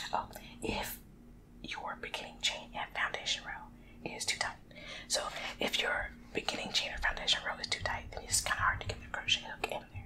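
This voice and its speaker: Whispering at a fairly quick pace, the voice breaks off with long, frequent pauses. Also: woman. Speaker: ASMR creator. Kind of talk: ASMR whispered reading and casual talk to camera. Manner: whispering, soft-spoken. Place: home room. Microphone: studio mic.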